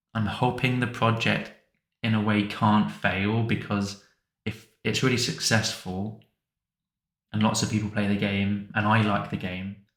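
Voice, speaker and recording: A man speaks at a fairly low pitch in a monotone, flat intonation. His pace is fairly slow, and the room echo is audible. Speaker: hobbyist game developer. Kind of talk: casual vlog talk to camera. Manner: mumbling, not clearly articulated; hesitant, with fillers and repeats.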